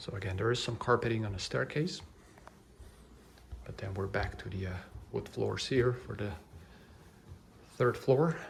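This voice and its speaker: A soft-spoken man with lively intonation and long, frequent pauses. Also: moderate pace. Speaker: real estate agent giving virtual house tours. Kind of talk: ASMR house tour narration.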